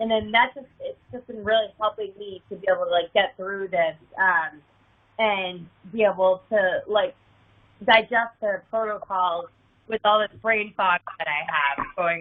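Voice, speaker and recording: Fairly slow female speech at a medium pitch, ordinary in its pitch variation. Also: big swings in loudness. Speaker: caller. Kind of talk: caller question on support call. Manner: hesitant, many fillers.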